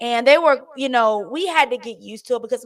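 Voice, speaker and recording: Loud and at a fairly quick pace, a woman speaks with ordinary pitch variation. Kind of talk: casual chat. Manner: halting.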